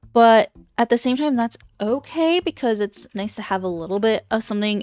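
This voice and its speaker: Over background music, a woman with a fairly high pitch speaks in an animated tone with lively intonation, the sound dry and close with no echo. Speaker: gaming YouTuber. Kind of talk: gameplay commentary. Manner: fast.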